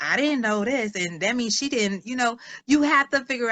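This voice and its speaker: Fairly quick and animated, the voice has lively intonation and a bright, sharp tone. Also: woman. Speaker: social worker and author. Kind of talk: interview. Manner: fast.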